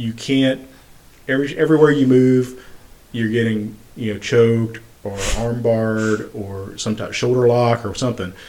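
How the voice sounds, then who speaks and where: Noticeable background noise runs behind a man whose fairly even intonation holds a moderate pace. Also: medium pitch for a man. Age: 40s. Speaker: podcast host and registered nurse. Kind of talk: casual interview.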